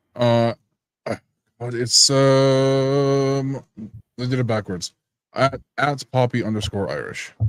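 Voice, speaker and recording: A man talks at a very slow pace with long, frequent pauses and fairly even intonation. Music plays in the background of a dry, close recording with no echo. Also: medium pitch for a man. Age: 20s. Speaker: voice actor. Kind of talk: casual chat.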